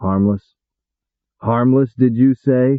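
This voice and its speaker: A man puts on a gruff character voice at a medium pitch. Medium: read story. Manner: blunt, gruff.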